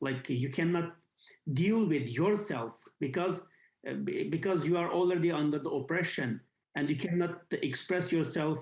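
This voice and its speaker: The speaker talks at a moderate pace with a Xinjiang accent. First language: Uyghur. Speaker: activist. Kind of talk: interview. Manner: halting, many fillers.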